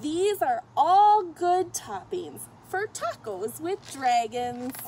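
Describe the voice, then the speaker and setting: Against light background noise, the speech moves at a very slow pace with lively intonation. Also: woman. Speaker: storyteller reading to children. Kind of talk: read-aloud storytelling. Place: garden.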